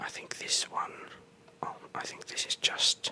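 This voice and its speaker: Whispering in a relaxed tone, the voice comes through noticeable background noise. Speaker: ASMR content creator / gamer. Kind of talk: whispered ASMR gameplay tour, rambling. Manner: whispered, soft, relaxed.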